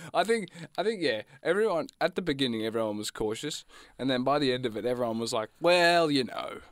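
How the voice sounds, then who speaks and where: Very wide pitch swings run through this fairly quick Australian-accented speech, recorded very cleanly against a silent background. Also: man, fairly high pitch for a man. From Australia, Gippsland, Victoria. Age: 20s. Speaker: student radio co-host. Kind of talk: casual chat. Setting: studio.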